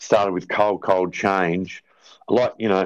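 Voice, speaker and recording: A man with an Australian accent talks at a fairly slow pace. The background is quiet. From South Australia, rural farm near Port Wakefield. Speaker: drummer and band manager. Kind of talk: casual interview chat. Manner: halting, many fillers.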